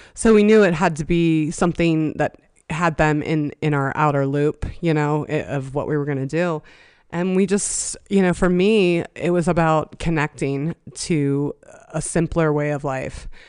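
A woman with an American accent speaks at a very deep, low pitch against a quiet background. She talks at a fairly slow pace with fairly even intonation. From western Pennsylvania (Johnstown, near Pittsburgh). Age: 40s. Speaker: domestic violence survivor. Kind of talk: casual interview. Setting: in person at host's house.

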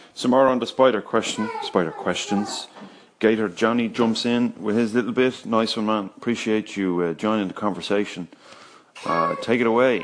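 Noticeable background noise behind a man speaking at a medium pitch with fairly even intonation. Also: moderate pace. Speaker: podcast host. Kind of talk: casual solo podcast monologue. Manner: casual, hesitant with fillers.

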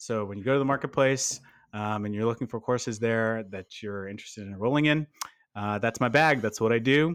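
With an American accent, this is an ordinary speaking voice, moving at a fairly quick pace with ordinary pitch variation. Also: man, medium pitch for a man. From Texas. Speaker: product manager, podcast co-host. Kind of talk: casual chat.

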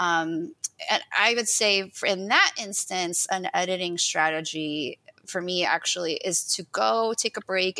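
A woman with an unremarkable speaking voice, medium pitch, ordinary pitch variation and a fairly slow pace. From US, Ukrainian-American family. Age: 40s. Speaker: poet. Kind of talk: casual interview.

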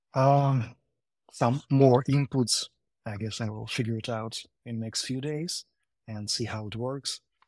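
A man with a medium-pitched voice speaks at a fairly slow pace with fairly even intonation and long, frequent pauses, in a dry, close recording with no echo, very clean and with a silent background. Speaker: web developer. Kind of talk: casual tech discussion. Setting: live audio space call.

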